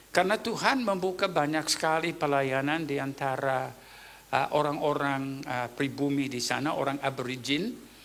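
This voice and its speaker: At a moderate pace, a man with a fairly high voice and ordinary pitch variation speaks amid audible room echo. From Papua New Guinea. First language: Tok Pisin (speaking Indonesian). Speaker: pastor. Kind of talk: sermon.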